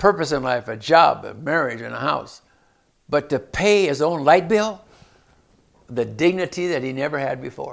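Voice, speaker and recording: A man's fairly high voice with vocal fry, lively intonation, big swings in loudness, a moderate pace and long, frequent pauses. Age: 80s+. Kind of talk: interview storytelling.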